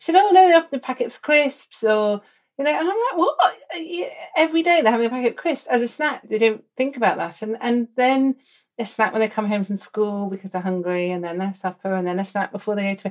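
With an English accent, a woman speaks fairly quickly in a fairly high voice that makes very wide pitch swings. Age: 50s. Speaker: doctor and podcast host. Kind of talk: casual interview chat.

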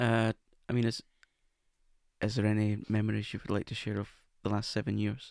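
Fairly low-pitched and monotone, with flat intonation, a man talks at a fairly quick pace, broken by long, frequent pauses. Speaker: podcast host and wigmaker. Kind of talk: casual conversation, personal recovery story.

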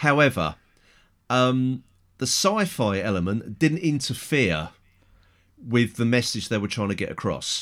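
In an English accent, a man at a medium pitch talks at a moderate pace with very wide pitch swings and long, frequent pauses, on a very clean recording with a silent background. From England. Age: middle-aged. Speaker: podcast host. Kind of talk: casual chat.

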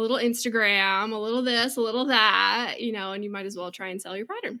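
On a very clean recording with a silent background, a woman with an American accent speaks at a fairly quick pace in a bright, sharp tone, her pitch fairly high with ordinary variation. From Washington State, US (rural, near Seattle). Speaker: quilt pattern designer. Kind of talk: casual interview chat.

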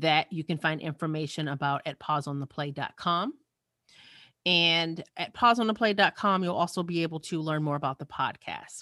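On a very clean recording with a silent background, a woman speaks at a fairly quick pace in a bright, sharp tone, dry and close with no echo. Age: 40s. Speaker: diversity and inclusion coach. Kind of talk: interview conversation.

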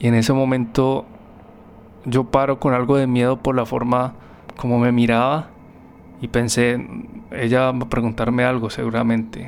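A man with a medium-pitched voice talks at a moderate pace. His delivery is flat and monotone, with long, frequent pauses. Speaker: music therapist and podcast host. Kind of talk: personal storytelling narration.

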